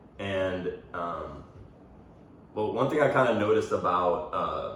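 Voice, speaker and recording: A man speaks at a fairly slow pace amid audible room echo. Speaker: podcast host and college athlete. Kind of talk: casual chat.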